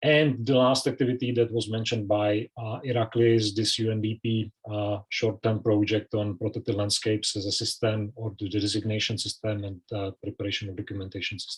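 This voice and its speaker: The speech moves at a fairly quick pace with hardly any pauses. Intonation stays monotone and flat, and the voice is somewhat breathy. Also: man, fairly low pitch for a man. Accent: Czech. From Czech Republic. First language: Czech. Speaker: conservation expert. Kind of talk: presentation. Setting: online video call.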